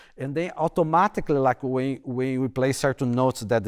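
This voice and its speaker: Recorded very cleanly against a silent background, a man with a medium pitch and a strong non-native accent sounds dry and close, with no echo. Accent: heavy non-native accent in English. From Brazil. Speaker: bassoon professor. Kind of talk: panel discussion. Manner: halting, repeats words.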